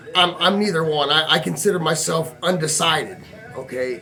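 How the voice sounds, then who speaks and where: Music plays in the background as a fairly high-pitched man speaks with ordinary pitch variation. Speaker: vlogger. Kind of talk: personal vlog monologue. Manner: halting, repeats words.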